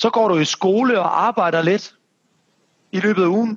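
A man talks at a fairly slow pace. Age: 30s. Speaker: podcast host and personal trainer. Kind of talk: casual interview. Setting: remote call. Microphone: remote recording, poor sound.

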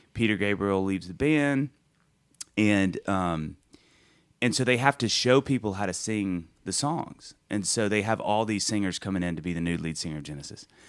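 A man with a Southern US accent, fairly low in pitch, with lively intonation, in a very clean recording with a silent background. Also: moderate pace. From US South, Mississippi. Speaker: singer-songwriter. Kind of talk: casual chat. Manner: animated.

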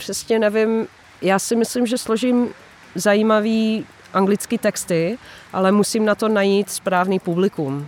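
A woman with a Dutch accent speaks at a very slow pace, her medium pitch showing ordinary variation and her loudness very even. There is noticeable background noise. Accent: Dutch accent when speaking Czech. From Netherlands. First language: Dutch (speaking Polish). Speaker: singer-songwriter, former music teacher. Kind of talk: interview.

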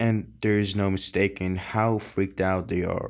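At a fairly slow pace, a man with a fairly low pitch uses an ordinary speaking voice in a very clean recording with a silent background. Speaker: audiobook reader. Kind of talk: audiobook reading, dramatic first-person narration of a teen's voice.

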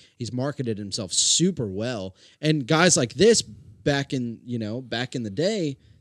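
On a very clean recording with a silent background and a dry, close sound with no echo, a man in a normal speaking voice talks at a fairly slow pace with a medium pitch and lively intonation. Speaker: podcast co-host. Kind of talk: casual chat.

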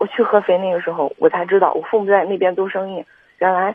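Her medium-pitched voice moves at a fairly quick pace as the woman speaks. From Henan, China (Kaifeng). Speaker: caller. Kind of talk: call-in conversation. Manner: halting.

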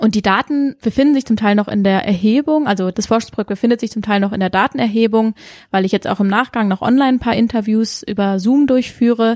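Speaking at a very fast pace, a woman with a fairly high pitch shows ordinary pitch variation in a dry, close sound with no echo. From Karlsruhe, Germany. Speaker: PhD researcher in sport science. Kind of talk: interview.

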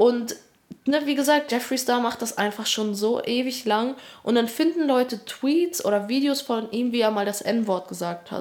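A woman speaks at a moderate pace in a high pitch with ordinary pitch variation. Background noise is noticeable. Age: 20s. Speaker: part-time student and YouTuber. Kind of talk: casual chat.

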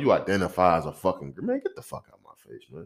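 A man speaks at a fairly quick pace, with vocal fry in his voice. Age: 20s. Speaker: podcast host. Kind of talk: angry rant; profane comedic commentary. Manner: loud, aggressive, scornful; fast, animated, profanity-heavy.

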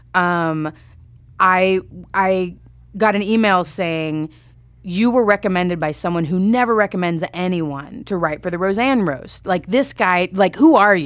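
A woman speaks with an American accent and ordinary pitch variation. Hers is an ordinary speaking voice. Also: medium pitch for a woman. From Texas, Grand Prairie near Dallas. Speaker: TV comedy writer. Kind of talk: casual interview.

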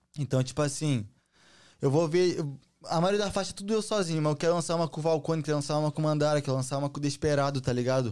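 At a very fast pace, a man talks with a fairly high pitch. The recording is very clean, with a silent background. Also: ordinary pitch variation. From Brazil, Santa Catarina. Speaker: trap artist. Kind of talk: casual chat. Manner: animated.

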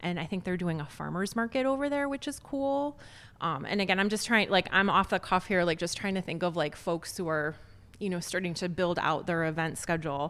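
A woman with an American accent talks at a fairly quick pace in an unremarkable speaking voice, medium in pitch with lively intonation, on a very clean recording with a silent background. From Chicago southwest suburbs, Illinois. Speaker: magazine editor. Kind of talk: casual interview. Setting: recorded on location at a restaurant.

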